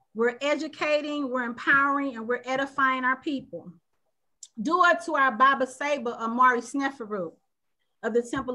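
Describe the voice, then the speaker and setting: Against a quiet background, a woman with a high pitch and bright, sharp tone uses a raised, projected voice at a moderate pace with ordinary pitch variation. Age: 50s. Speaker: panel show host. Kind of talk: panel discussion. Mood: earnest, thoughtful. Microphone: video call.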